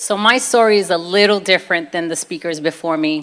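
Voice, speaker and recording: This is a woman's voice. She speaks with a Brooklyn accent. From US, Brooklyn, New York. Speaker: convert telling her faith story. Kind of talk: testimony.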